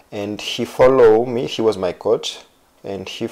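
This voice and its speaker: Background noise is clearly present. Over it, a man talks at a medium pitch. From Georgia. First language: Georgian. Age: 30s. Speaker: footballer. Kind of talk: interview. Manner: halting.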